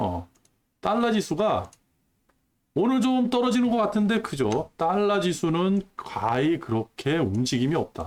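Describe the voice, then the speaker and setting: Very wide pitch swings mark this man's high-pitched voice. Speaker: stock market youtuber. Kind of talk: casual market commentary. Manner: conversational, frequent filler questions.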